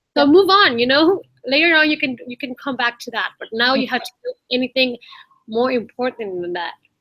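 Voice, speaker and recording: A woman's high-pitched, raised, projected voice moves at a fairly quick pace with lively intonation and big swings in loudness. The sound is dry and close, with no echo. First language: Spanish. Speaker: online community host. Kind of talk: casual chat.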